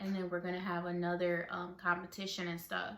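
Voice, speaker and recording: A woman mumbles at a moderate pace, her medium-pitched voice held in a flat monotone. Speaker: vlogger. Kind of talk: casual storytelling vlog. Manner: mumbling; filler-heavy.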